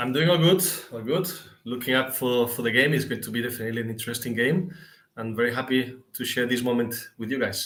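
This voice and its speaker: A man speaks at a very fast pace. His voice sits at medium pitch with ordinary pitch variation. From Seville, Spain. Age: 40s. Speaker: football fan guest. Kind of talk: casual chat.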